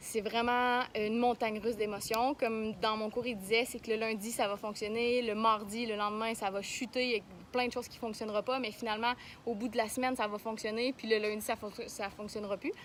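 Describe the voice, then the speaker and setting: Fairly high in pitch, a woman talks at a fairly quick pace in a monotone, flat intonation. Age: young. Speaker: vlogger, young entrepreneur. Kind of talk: casual vlog. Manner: halting, many fillers.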